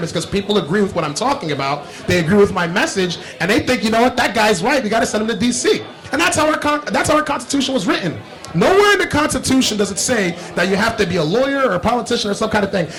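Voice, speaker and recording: Amid noticeable background noise, a man with an American accent speaks very fast in a high pitch, his tone passionate and his pitch swinging very widely. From Paterson, New Jersey. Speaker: congressional candidate; air force veteran. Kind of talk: interview answer.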